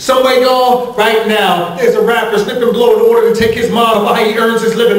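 An extremely high-pitched male voice keeps fairly even intonation at a fairly quick pace. Audible room echo surrounds him. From Newark, New Jersey; New Jersey. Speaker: spoken word poet. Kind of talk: spoken word performance. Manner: rhythmic.

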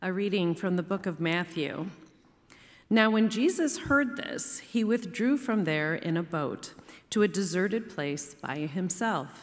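Her intonation lively, a woman speaks at a fairly slow pace. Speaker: lector. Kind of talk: scripture reading aloud. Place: church. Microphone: podium.

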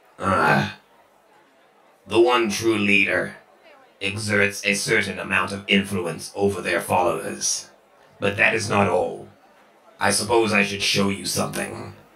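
Putting on a character voice, a man speaks at a very deep, low pitch and a fairly slow pace, with long, frequent pauses. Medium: actual play. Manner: scornful, cold, superior.

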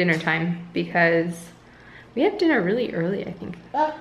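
A woman with a plain, everyday voice speaks at a moderate pace and a fairly low pitch, with light background noise behind her. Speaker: mother vlogger. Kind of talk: casual vlog chat. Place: home room. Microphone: phone near.

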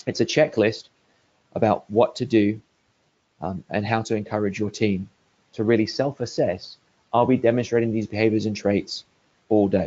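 With an English accent, a man of medium pitch speaks at a moderate pace, leaving long, frequent pauses. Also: ordinary pitch variation. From England. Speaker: market research executive. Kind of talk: webinar presentation.

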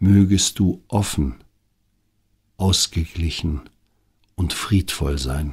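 Very slowly and with long, frequent pauses, a man speaks in a very deep, low voice that is calm, soothing and somewhat breathy, with ordinary pitch variation. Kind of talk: guided meditation. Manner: slow, calm, soothing, gently paced with long pauses; soft-spoken, intimate, addressing the listener directly as 'du'.

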